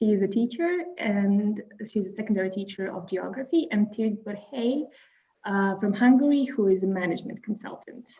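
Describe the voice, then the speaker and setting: Her voice is fairly high in pitch, with a Croatian accent, ordinary pitch variation and a moderate pace. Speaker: webinar moderator. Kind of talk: webinar introduction.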